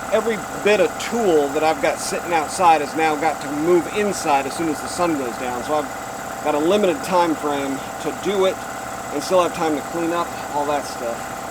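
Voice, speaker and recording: Noticeable background noise and audible room echo surround the recording. A man speaks at a moderate pace with a fairly high pitch and ordinary pitch variation. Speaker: DIY metalworking video host. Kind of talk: tutorial. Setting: outdoors. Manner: loud.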